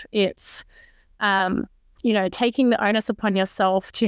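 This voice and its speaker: With an Australian accent, a woman speaks at medium pitch with ordinary pitch variation in a dry, close sound with no echo. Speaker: podcast co-host, aerospace engineer. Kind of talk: casual chat. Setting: remote call.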